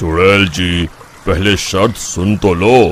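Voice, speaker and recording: A man puts on a cartoonish character voice, very deep and low, with fairly even intonation. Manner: calm, measured.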